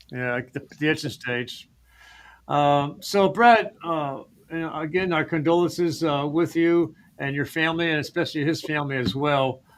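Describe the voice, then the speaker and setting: A man speaks with an American accent at a moderate pace. His pitch is fairly high, with ordinary variation. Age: 60s. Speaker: live show host. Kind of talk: casual chat. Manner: halting, many fillers.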